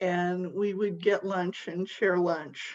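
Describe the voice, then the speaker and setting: Her voice is a woman's, sitting at a medium pitch. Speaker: grief workshop presenter. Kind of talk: panel discussion. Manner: slow.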